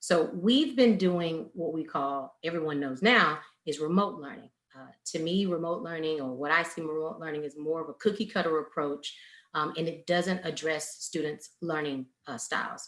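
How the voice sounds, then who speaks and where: A woman with an American accent speaks at a moderate pace in a very deep, low pitch, her loudness swinging widely. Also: ordinary pitch variation. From New Orleans, Louisiana. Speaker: education speaker and parent. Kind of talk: webinar presentation.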